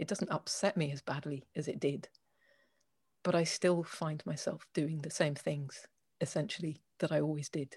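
Somewhat breathy, a woman speaks at a moderate pace with a very deep, low pitch. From England. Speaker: organization owner, writer, jazz musician. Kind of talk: interview.

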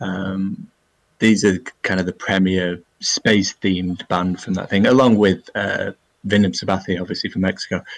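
A man with an English accent speaks in a very deep, low pitch. His delivery is moderate in pace, with monotone, flat intonation. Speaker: podcast co-host. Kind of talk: casual chat. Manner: halting.

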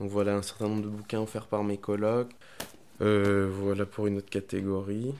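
A dark, mellow voice speaks in a flat monotone at a moderate pace. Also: man, fairly low pitch for a man. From Honduras. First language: Spanish (speaking French). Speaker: podcast guest, book lover. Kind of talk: casual chat. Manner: halting.

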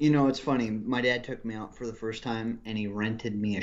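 A man's medium-pitched voice with an American accent, flat and monotone. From California. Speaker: paintball player. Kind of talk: casual conversational interview.

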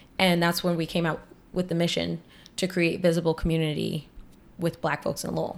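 A woman with an American accent talks at a fairly quick pace and a fairly low pitch, with vocal fry. Her intonation is monotone and flat. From Boston (Roxbury). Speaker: nonprofit youth coordinator. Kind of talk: interview conversation.

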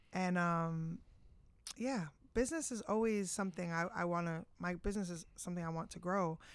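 In a plain, everyday voice, a woman speaks at a fairly low pitch and moderate pace with ordinary pitch variation, on a very clean recording with a silent background. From New Jersey (Bergen County). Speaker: music artist manager. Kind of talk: casual interview.

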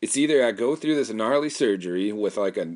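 With a normal speaking voice, a man talks at a fairly quick pace using lively intonation. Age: 30s. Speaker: podcast host. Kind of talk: solo monologue. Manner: rambling with frequent fillers and repetitions.

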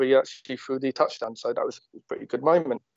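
The speaker is a man with a medium-pitched voice. He moves through his words at a fairly quick pace. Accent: southern English. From Watford, southern England. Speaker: sports fan. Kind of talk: interview.

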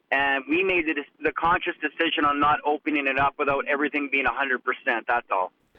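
With a Canadian accent, a man talks at a fairly quick pace in a normal speaking voice, pitched fairly high. His intonation stays fairly even and his loudness very even. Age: 40s. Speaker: chef. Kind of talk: interview.

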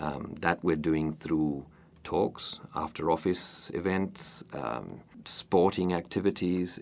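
This man's voice sits at a very deep, low pitch. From Uruguay, Montevideo. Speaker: president of a community society. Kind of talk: interview. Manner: hesitant with fillers.

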